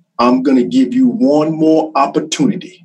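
A fairly slow delivery with lively intonation, in a Carolinas accent. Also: man. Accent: Southern US (Carolinas). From US South, South Carolina (Chesterfield). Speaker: criminal justice instructor and former law enforcement officer. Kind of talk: interview storytelling.

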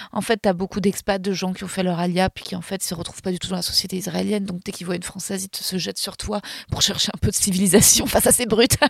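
With a dry, close sound and no echo, a woman talks very fast at a medium pitch, her somewhat breathy voice flat and monotone. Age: 30s. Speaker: comedian and actress. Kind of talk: casual chat.

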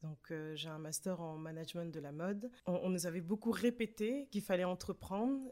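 A woman with a dark, mellow tone at medium pitch, lively in intonation, at a moderate pace with hardly any pauses. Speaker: arts project founder. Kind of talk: interview. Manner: halting, many fillers.

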